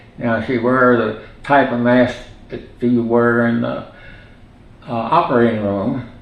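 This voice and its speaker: Amid audible room echo and noticeable background noise, a man speaks at a medium pitch and a fairly slow pace, with long, frequent pauses and fairly even intonation. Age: 90s. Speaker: retired physician. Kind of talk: oral history interview. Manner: halting, many fillers.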